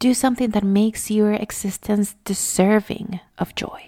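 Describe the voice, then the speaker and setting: A woman speaks in a Spanish accent at a medium pitch and a fairly slow pace, her tone calm, dark and mellow, somewhat breathy, with monotone, flat intonation. The recording is very clean with a silent background and a dry, close sound with no echo. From Venezuela. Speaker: mindfulness podcaster. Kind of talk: reflective monologue.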